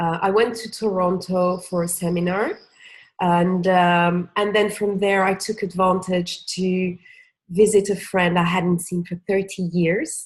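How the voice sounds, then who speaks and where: Against a quiet background, a woman with a medium-pitched, somewhat breathy voice speaks at a fairly slow pace. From Senegal, of Cape Verdean parents. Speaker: former retail manager, digital nomad. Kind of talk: casual interview chat. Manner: energetic; halting, many fillers.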